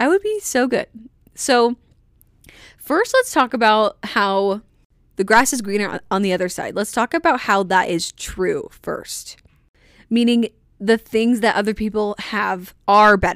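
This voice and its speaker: A woman with a fairly high voice speaks fairly slowly in an energetic tone, with ordinary pitch variation and long, frequent pauses. The recording is very clean, with a silent background. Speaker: solo podcast host. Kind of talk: casual solo podcast monologue.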